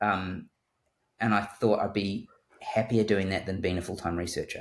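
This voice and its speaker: A man with a New Zealand accent, a fairly low pitch and monotone, flat intonation, at a moderate pace. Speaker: surgeon. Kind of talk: interview. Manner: halting.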